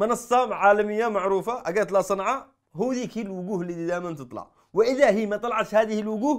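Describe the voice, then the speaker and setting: Against a quiet background, a man with a high pitch talks at a fairly quick pace with lively intonation. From Yemen. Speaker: satirical comedy show host. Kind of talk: stand-up comedy with live audience. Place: studio.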